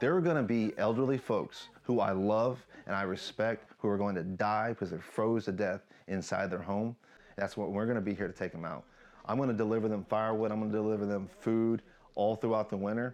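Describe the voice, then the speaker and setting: In a normal speaking voice with an American accent, the speaker moves at a fairly quick pace. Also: man, fairly low pitch for a man, ordinary pitch variation. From United States. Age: 40s. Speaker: soldier and missionary. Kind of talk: interview testimony.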